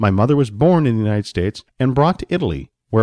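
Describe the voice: Lively intonation in plain reading aloud, the background quiet.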